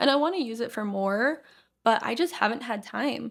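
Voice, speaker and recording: An animated, shaky voice with lively intonation at a moderate pace, on a very clean recording with a silent background. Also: woman. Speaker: podcast host. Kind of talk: casual chat; get-ready-with-me vlog talk. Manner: shaky while blending makeup.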